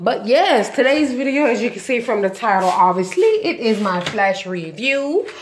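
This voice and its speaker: Over light background noise, a woman with a fairly high pitch talks at a moderate pace with very wide pitch swings and hardly any pauses. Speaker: YouTuber reviewing TV show; TV show reviewer. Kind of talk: casual vlog review. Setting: walking with handheld camera. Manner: casual, conversational. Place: home room. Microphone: phone near.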